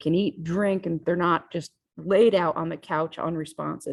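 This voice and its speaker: Here a woman is speaking. Her pace is moderate. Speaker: physiology professor. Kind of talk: lecture. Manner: casual, conversational.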